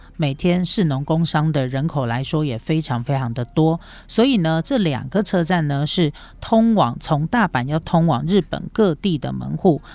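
A woman's very deep, low voice at a moderate pace, with lively intonation. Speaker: travel podcast host. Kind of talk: solo podcast monologue. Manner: casual, many fillers.

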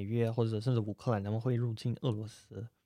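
A man's medium-pitched voice at a fairly quick pace, over a quiet background. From Russia. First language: Russian (speaking Chinese). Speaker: Russian guest commentator. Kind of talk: casual interview. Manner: halting, many fillers.

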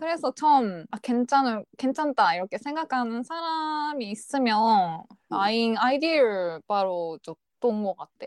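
A woman's fairly high voice with very wide pitch swings, very slow yet with hardly any pauses, in a dry, close sound with no echo. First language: not Korean (speaking Korean). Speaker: podcast co-host. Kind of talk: casual chat.

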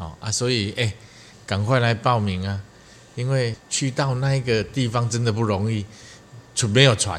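A man talks at a moderate pace with a medium pitch and fairly even intonation. He leaves long, frequent pauses. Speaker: podcast co-host, army veteran. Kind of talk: casual chat.

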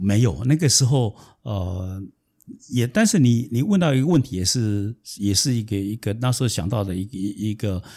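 A man with a fairly low, dark and mellow voice speaks with ordinary pitch variation on a very clean recording with a silent background. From southern Taiwan. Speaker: consultant. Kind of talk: interview. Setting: in-person studio recording. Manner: halting.

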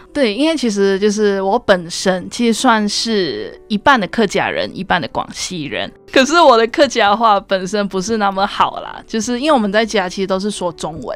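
With music in the background, a woman speaks at medium pitch and a moderate pace, using lively intonation and hardly any pauses. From Malaysia. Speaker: university student. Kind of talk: radio interview.

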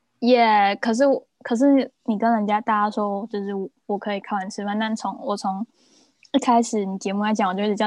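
In a dry, close sound with no echo, a woman speaks at a fairly quick pace and fairly high pitch, her intonation monotone and flat. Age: 20s. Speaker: luxury goods personal shopper. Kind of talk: casual chat.

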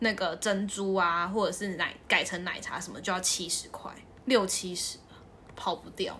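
Amid noticeable background noise and audible room echo, a woman speaks at a medium pitch and moderate pace, her intonation fairly even and her loudness swinging widely. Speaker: podcast co-host. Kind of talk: casual chat.

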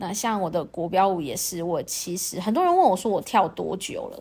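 Nothing at all can be heard behind this very clean recording. The talking proceeds at a medium speed. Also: woman. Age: 40s. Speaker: podcast host and fitness and dance instructor. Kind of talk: casual monologue.

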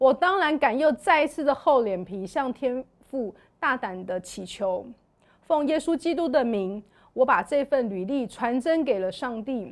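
Very wide pitch swings mark this fairly slow delivery in a Taiwanese accent, captured in a very clean recording with a silent background. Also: woman, high pitch for a woman. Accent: Taiwanese Mandarin. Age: 40s. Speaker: church member sharing her life story. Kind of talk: testimony.

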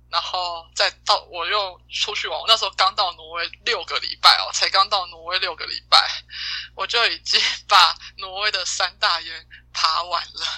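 Amid noticeable background noise, a woman speaks at a moderate pace with a medium pitch, monotone, flat intonation, and big swings in loudness. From Taiwan. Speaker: exchange student. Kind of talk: casual chat.

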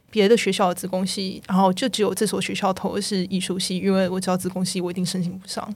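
Somewhat breathy and delivered in a monotone, flat intonation, the speech runs at a very fast pace with hardly any pauses. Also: woman, medium pitch for a woman. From Taiwan. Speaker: video game technical artist. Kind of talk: casual interview chat.

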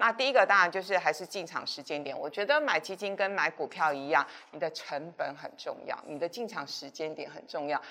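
A woman with a fairly low pitch talks at a fairly quick pace. Her voice moves in very wide pitch swings. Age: 50s. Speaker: finance show host. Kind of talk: casual interview about investing.

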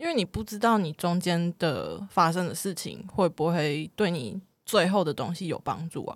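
At a moderate pace with hardly any pauses, an unremarkable speaking voice shows ordinary pitch variation on a very clean recording with a silent background. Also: woman, fairly low pitch for a woman. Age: 20s. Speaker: freelance theater designer and performer. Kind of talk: casual chat.

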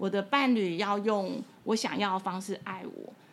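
This voice belongs to a woman. There is a somewhat breathy quality to it. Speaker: podcast host and bookstore owner. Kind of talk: casual chat.

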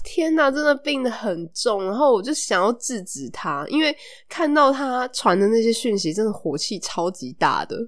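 A woman's animated voice with a Taiwanese accent, fairly high in pitch, very wide pitch swings, a moderate pace and hardly any pauses. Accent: Taiwanese Mandarin. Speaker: podcast host. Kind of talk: casual chat. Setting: recording at home. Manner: animated, laughs often.

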